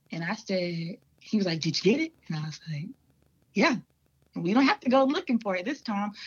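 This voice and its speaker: Speaking with an American accent, a woman talks at a fairly quick pace with long, frequent pauses, her medium-pitched voice somewhat breathy and full of very wide pitch swings. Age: 20s. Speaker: hunter. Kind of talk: casual chat.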